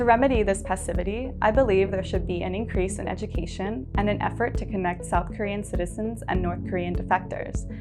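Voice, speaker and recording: Music plays in the background as a woman with an American accent speaks at a fairly quick pace. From United States. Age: 20s. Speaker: English teacher. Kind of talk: prepared webinar talk.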